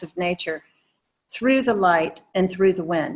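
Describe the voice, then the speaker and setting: The woman's intonation is lively. She keeps a moderate pace. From US South, Atlanta, Georgia. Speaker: painter. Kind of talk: presentation Q&A.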